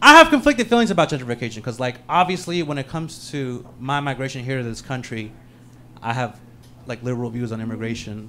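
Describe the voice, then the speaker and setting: A man with a Californian accent speaks at a very fast pace in a bright, sharp tone. His voice sits at a medium pitch with ordinary pitch variation and big swings in loudness. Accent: Californian American. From San Francisco, US (Peruvian-born). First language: Spanish. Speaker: stand-up comedian. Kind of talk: stand-up.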